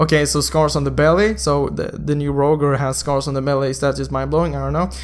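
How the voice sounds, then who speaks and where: Speaking at a very fast pace, a man's voice carries audible room echo. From Sweden. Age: 20s. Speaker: gaming youtuber. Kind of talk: casual video commentary. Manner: animated.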